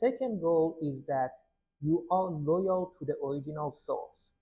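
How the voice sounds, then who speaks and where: A man with a Persian accent talks at a fairly slow pace, his fairly high pitch carrying lively intonation. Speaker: poetry translator and explainer. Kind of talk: tutorial.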